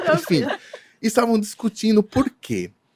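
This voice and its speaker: At a moderate pace, the speech shows very wide pitch swings in a very clean recording with a silent background. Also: man, dry, close sound with no echo. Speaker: event decorator. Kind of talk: casual chat.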